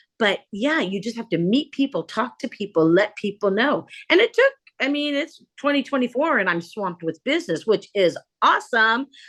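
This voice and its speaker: An animated woman with an American accent, fairly high in pitch with very wide pitch swings, at a moderate pace, in a dry, close sound with no echo. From US West Coast, San Jose California. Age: 60s. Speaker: art conservator. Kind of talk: interview conversation.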